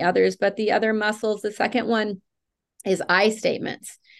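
A woman talks at a medium pitch. Behind her, the background is quiet. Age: 50s. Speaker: nonprofit founder and trainer. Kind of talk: interview conversation.

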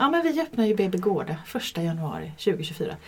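Moderate pace and medium pitch from a woman, noticeable background noise behind her. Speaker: midwife. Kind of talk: casual interview. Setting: studio, shared microphone.

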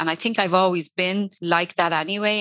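A woman with a Dublin accent speaks at a fairly quick pace with a bright, sharp tone and fairly even intonation, in a dry, close sound with no echo. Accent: Irish (Dublin). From Ireland, Dublin. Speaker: social media consultant. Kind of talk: casual interview chat. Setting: online call. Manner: fast.

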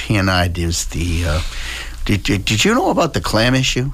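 Speaking with an American accent and ordinary pitch variation, a man talks over noticeable background noise. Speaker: state representative. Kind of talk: radio interview.

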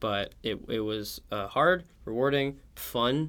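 This man has an American accent and a normal speaking voice. His pitch is medium, with ordinary pitch variation. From Oklahoma City. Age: young. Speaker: history student. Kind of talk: interview. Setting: studio on campus.

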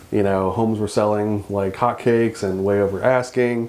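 The voice holds a monotone, flat intonation at a moderate pace. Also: man. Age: 40s. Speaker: podcast host, real estate agent. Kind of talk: casual interview chat.

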